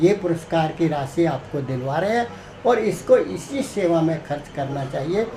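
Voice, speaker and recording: A man with a high-pitched voice talks with lively intonation over noticeable background noise and audible room echo. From Haryana, Rohtak area. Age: 60s. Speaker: author and blood donation activist. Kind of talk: interview.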